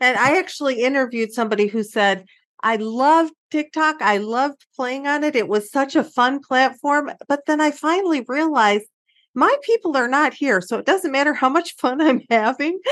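Lively intonation against a quiet background. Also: woman, high pitch for a woman, moderate pace. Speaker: podcast host. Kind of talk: interview.

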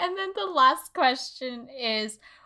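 On a very clean recording with a silent background, a woman with an American accent speaks in a high, raised, projected voice with a bright, sharp tone and very wide pitch swings. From Texas and Kansas City. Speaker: podcast host, influencer consultant. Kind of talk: casual interview chat.

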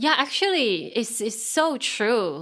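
Bright and sharp in tone, the voice moves at a very slow pace with lively intonation, in a very clean recording with a silent background. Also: woman. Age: 40s. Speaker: YouTube English teacher and digital nomad. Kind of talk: casual interview. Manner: halting, frequent repetitions.

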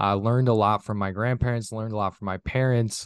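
In a dry, close recording with no echo and a quiet background, a man with an Upper Midwest accent speaks at a fairly quick pace with fairly even intonation. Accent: Upper Midwest American. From northern Minnesota. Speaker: business coach and podcast host. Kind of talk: interview.

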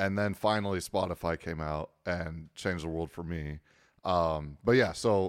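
A man speaks with a very deep, low pitch and fairly even intonation, on a very clean recording with a silent background. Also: moderate pace, dry, close sound with no echo. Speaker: wedding DJ. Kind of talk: casual podcast interview. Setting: studio. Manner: easygoing, joking.

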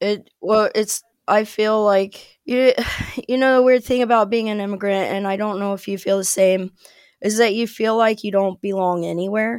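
A woman speaks at a moderate pace in an unremarkable speaking voice. Her pitch is medium and her intonation fairly even. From US Ohio. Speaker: expat living in England. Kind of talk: casual interview chat.

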